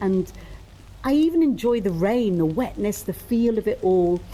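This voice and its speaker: A fairly high-pitched woman's voice with a British accent, at a fairly slow pace. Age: 60s. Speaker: charity fundraiser walker and podcast host. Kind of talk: scripted narration.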